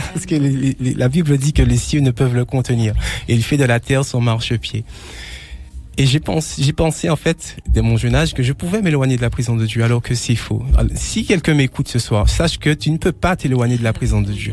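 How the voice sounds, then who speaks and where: Male speech at a rather brisk rate over clearly audible background noise. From Martinique (Trinité). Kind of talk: testimony. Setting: radio broadcast. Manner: halting, with frequent repetitions.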